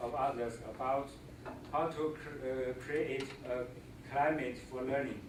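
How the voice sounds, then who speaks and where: Talking at a fairly slow pace, a man with a Chinese accent has a fairly high pitch. Noticeable background noise and audible room echo are present. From China. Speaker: visiting scholar, teacher. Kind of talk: presentation. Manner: halting, many fillers.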